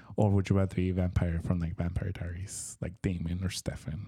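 Very deep, low male voice, somewhat breathy, monotone and flat, at a moderate pace on a very clean recording with a silent background. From Tijuana, Mexico. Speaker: podcast co-host. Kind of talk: casual chat.

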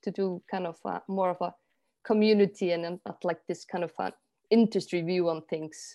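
A woman's dark, mellow voice with an Icelandic accent, at a moderate pace over a quiet background. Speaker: artist and project manager, trained jazz singer. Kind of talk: interview.

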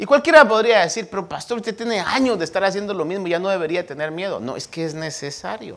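Hardly any pauses break up this very fast speech. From Guatemala. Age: old. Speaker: pastor. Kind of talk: sermon. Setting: church.

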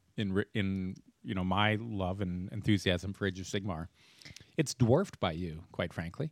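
The sound is dry and close with no echo. A man speaks at a moderate pace with a fairly low pitch. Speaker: podcast host. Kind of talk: casual chat. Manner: hesitant, filler-heavy.

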